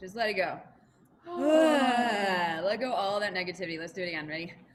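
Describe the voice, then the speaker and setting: The intonation is lively, with audible room echo and noticeable background noise in the recording. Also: woman, medium pitch for a woman, moderate pace, big swings in loudness. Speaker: choir teacher. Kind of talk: vocal warm-up instruction.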